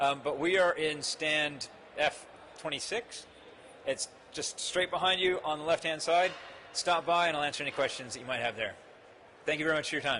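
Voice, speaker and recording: A man with a fairly high voice speaks at a fairly quick pace but takes long, frequent pauses. Noticeable background noise is present. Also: ordinary pitch variation. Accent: American. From United States. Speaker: marketing executive. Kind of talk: conference talk. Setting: stage with audience. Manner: animated.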